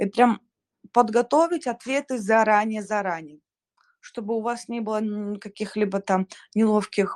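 Close and dry with no echo, a woman's fairly high voice moves at a fairly slow pace with ordinary pitch variation over a quiet background. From Kazakhstan, Shymkent. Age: 20s. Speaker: scholarship student, performing artist. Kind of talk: online live interview.

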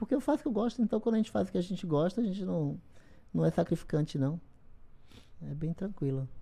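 A very fast, dark, mellow voice with vocal fry, very wide pitch swings and long, frequent pauses. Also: woman, fairly low pitch for a woman. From Bahia, Brazil (interior, Esplanada). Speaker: bodybuilder. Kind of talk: podcast interview.

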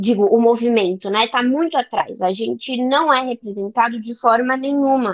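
Lively, high intonation from a woman speaking at a moderate pace. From Brazil, São Paulo city. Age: 20s. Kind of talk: casual interview chat. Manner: animated.

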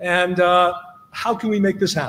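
The speaker has a Canadian accent, and noticeable background noise can be heard. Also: man. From Canada (Toronto). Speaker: audience member asking question. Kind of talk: audience Q&A.

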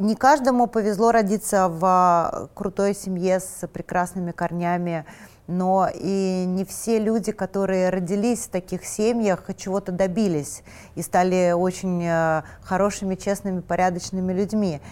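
Her voice an ordinary speaking voice at medium pitch, a woman talks at a fairly slow pace with fairly even intonation. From Moscow, Russia. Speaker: fashion designer and stylist. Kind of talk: interview.

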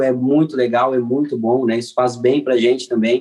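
It is an ordinary speaking voice, moving at a moderate pace. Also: man. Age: 30s. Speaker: mechanical engineer and course creator. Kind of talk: casual interview.

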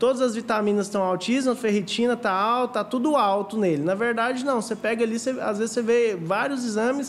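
A man speaks over noticeable background noise. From Goiânia, central-west Brazil. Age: 20s. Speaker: paralympic athlete and nutritionist. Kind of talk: casual interview. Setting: studio.

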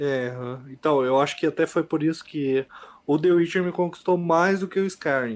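A man talks in an unremarkable speaking voice at a fairly high pitch, with ordinary pitch variation and a moderate pace. The recording is very clean, with a silent background. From Bela Vista do Paraíso, Paraná, Brazil. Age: 20s. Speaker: podcast guest, gamer. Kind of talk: casual chat.

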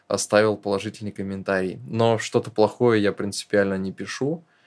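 Over a very clean, silent background, a man speaks at a fairly quick pace with a fairly low pitch. His intonation stays fairly even in an unremarkable speaking voice. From northern Russia. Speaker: screenwriter-producer, podcast co-host. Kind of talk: casual chat.

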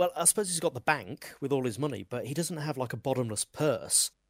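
A normal speaking voice from a man, fairly high in pitch, with lively intonation and a fairly quick pace, in a dry, close sound with no echo on a very clean recording over a silent background. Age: 30s. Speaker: podcast co-host. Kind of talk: casual chat. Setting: live stream.

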